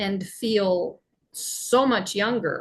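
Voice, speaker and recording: Her voice is somewhat breathy. The woman speaks at a very slow pace. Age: 60s. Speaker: podcast host. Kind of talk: casual chat.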